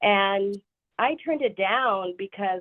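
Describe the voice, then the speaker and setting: A Spanish-accented woman's voice, its pitch varying in an ordinary way. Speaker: banker. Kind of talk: webinar presentation. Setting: video call. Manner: casual, filler-heavy.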